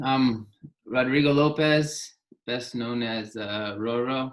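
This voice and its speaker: Very slowly, a man speaks at medium pitch. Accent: American. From southern California (Santa Barbara), Mexican-born. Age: 30s. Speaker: professional soccer player. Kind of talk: casual webinar interview. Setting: video webinar. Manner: hesitant, many repetitions.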